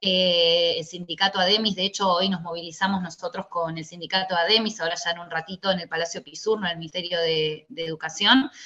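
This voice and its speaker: A woman with a fairly low voice talks at a fairly quick pace with hardly any pauses and fairly even intonation, her loudness swinging widely over noticeable background noise. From Tigre, Buenos Aires province, Argentina. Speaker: teachers' union leader. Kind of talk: interview.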